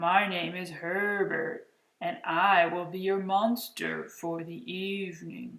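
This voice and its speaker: A breathy put-on character voice at a middle pitch and a fairly slow pace. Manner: polite, formal.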